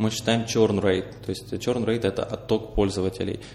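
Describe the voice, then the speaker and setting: Noticeable background noise sits behind a man speaking at a fairly quick pace. His fairly low voice is monotone and flat. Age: 20s. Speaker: entrepreneur. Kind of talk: interview. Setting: studio.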